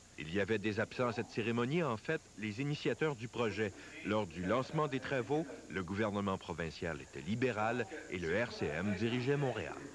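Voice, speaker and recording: A man with a Quebec accent, fairly low in pitch, with lively intonation at a moderate pace. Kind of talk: TV news reporting, scripted voice-over. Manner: formal, measured newsreading pace.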